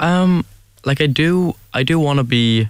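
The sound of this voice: A man speaks at a fairly slow pace in a fairly high voice. His tone is clear and smooth, with ordinary pitch variation.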